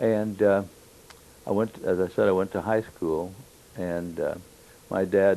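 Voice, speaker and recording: With a Midwestern US accent, a man speaks in a very deep, low voice with fairly even intonation. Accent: US Midwest. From Kansas (Wichita). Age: 70s. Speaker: war veteran. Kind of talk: oral history interview. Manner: halting, many fillers.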